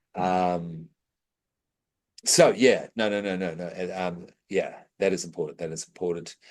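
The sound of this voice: With long, frequent pauses, a man with a low voice speaks at a fairly slow pace and with fairly even intonation.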